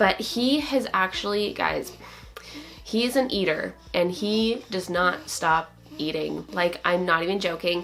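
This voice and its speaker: With noticeable background noise behind her, a woman speaks fairly slowly in a medium pitch, her intonation lively. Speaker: motherhood and lifestyle vlogger. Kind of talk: casual vlog update. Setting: at home.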